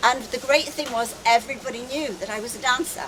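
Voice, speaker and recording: A woman speaks with an English accent. There is audible room echo and noticeable background noise. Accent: very English. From England, London. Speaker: wellness speaker. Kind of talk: conference talk. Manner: animated.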